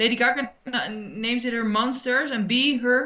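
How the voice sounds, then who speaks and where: A woman speaks with a Dutch accent at a fairly high pitch. Her pace is moderate. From Netherlands (Rotterdam). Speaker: French teacher, viewer guest. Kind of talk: casual chat. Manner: halting, many fillers.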